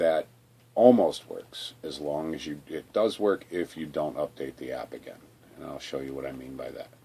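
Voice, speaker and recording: A man speaks at a moderate pace. His loudness rises and falls in big swings. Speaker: video tutorial maker. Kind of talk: tutorial.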